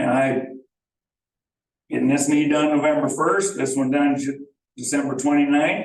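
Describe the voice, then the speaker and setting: In a Midwestern American accent, the speaker keeps a moderate pace and ordinary pitch variation, with audible room echo. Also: man. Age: 60s. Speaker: property owner. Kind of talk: public meeting discussion. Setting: village board meeting.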